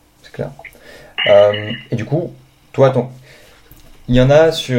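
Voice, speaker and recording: There's noticeable background noise as a man speaks. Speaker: podcast host. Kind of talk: interview. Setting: video call.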